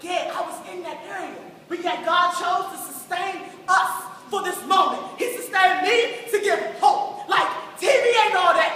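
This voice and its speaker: A woman uses a raised, projected voice at an extremely high pitch, with big swings in loudness and ordinary pitch variation. She keeps a moderate pace over noticeable background noise. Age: young. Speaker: spoken word poet. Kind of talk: spoken word testimony performance.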